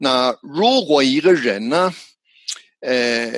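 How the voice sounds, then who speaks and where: The speaker is a man whose pitch varies in an ordinary way. His voice sounds dry and close, without any echo. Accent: English. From New Zealand. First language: English (speaking Chinese). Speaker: psychologist and language educator. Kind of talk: interview. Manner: halting, with repetitions.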